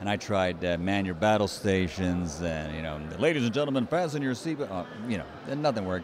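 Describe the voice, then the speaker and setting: Fairly low in pitch, a man speaks at a fairly quick pace with very wide pitch swings over noticeable background noise. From United States. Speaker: ring announcer. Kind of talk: interview answer. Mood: friendly, animated storytelling. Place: hall. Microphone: handheld.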